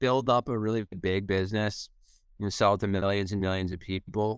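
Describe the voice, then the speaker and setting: A man with a normal speaking voice talks at a moderate pace, his pitch fairly low. The sound is dry and close with no echo, in a very clean recording with a silent background. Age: 30s. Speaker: founder and CEO of a nutrition bar company. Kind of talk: casual interview.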